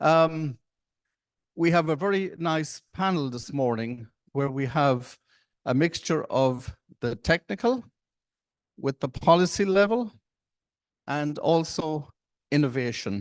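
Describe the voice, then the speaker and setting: Very slow speech in an Irish accent with lively intonation and long, frequent pauses, dry and close with no echo against a quiet background. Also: man, fairly high pitch for a man. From Ireland. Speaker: panel moderator. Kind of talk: conference panel moderation. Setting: conference side event with audience.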